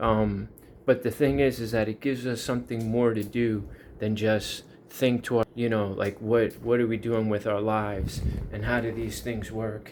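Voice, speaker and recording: The man talks at a moderate pace with a medium pitch. His intonation is monotone, flat. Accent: New York. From US, Long Island, New York. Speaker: YouTuber. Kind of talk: casual monologue.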